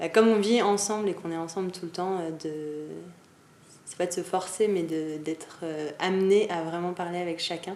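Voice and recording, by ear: A woman's fairly low, slightly mellow voice, fairly quick in pace and fairly even in intonation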